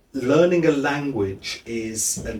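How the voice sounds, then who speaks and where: A man with a British accent talks at a very slow pace. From Britain. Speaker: lecturer and TV presenter. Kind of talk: interview answer.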